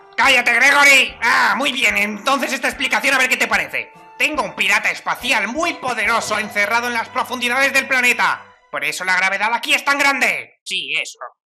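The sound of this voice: Over faint background music, a female-sounding, fairly high put-on character voice moves at a fairly quick pace.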